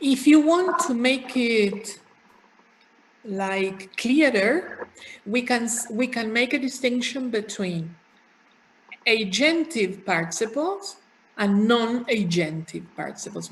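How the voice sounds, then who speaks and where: The speaker talks very slowly in a Spanish accent, leaving long, frequent pauses. Pitch swings very widely throughout. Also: woman. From Argentina, Buenos Aires. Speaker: university lecturer. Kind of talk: lecture.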